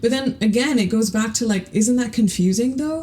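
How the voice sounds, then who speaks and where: A woman speaks with a dark, mellow tone and a somewhat breathy quality. Her pitch sits fairly high. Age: 30s. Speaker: podcast host. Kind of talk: casual monologue. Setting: home closet. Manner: rambling, hesitant with repetitions.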